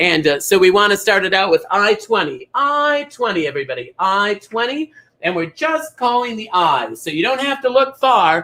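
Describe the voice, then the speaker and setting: In an American accent, a raised, projected voice with a bright, sharp tone and animated delivery moves at a moderate pace with hardly any pauses and very wide pitch swings. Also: man, high pitch for a man. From Minnesota. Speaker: drag comedian bingo caller. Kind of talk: live bingo show chat.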